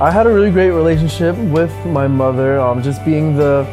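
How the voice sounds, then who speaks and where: Music plays in the background as a man with an American accent talks at a fairly quick pace and a fairly low pitch. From New Jersey. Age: 20s. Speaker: ministry intern. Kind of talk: personal testimony interview.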